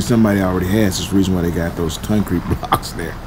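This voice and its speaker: A man with a very deep, low voice talks as noticeable noise fills the background. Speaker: truck driver trainer. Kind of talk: commentary. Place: car. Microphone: phone near.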